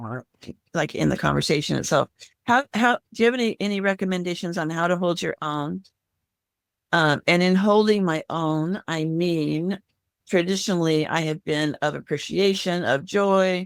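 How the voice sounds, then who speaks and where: A woman with a fairly low pitch speaks at a moderate pace with ordinary pitch variation, and the sound is dry and close with no echo. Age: 60s. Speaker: live Q&A participant. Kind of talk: casual chat. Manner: halting.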